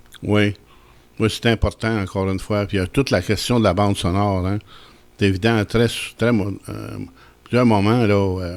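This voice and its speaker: A man speaks in a fairly low, monotone voice with flat intonation. He keeps a moderate pace, broken by long, frequent pauses. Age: 70s. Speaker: radio film show host. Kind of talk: radio interview.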